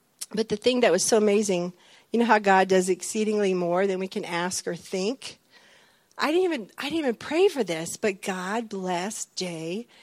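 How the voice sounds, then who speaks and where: An unremarkable speaking voice from a woman, medium in pitch with ordinary pitch variation, in a dry, close sound with no echo. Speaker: military wife. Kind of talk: testimony.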